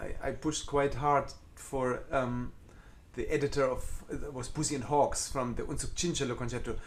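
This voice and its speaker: A man with a German accent speaks fairly quickly at a fairly high pitch with ordinary pitch variation. Room echo is audible. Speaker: concert cellist. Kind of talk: live Q&A chat. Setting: live video stream from home. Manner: halting, with repeated false starts.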